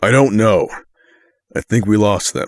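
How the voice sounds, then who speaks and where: A man's raspy, put-on character voice at medium pitch and moderate pace, dry and close with no echo. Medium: audio drama. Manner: urgent, gruff.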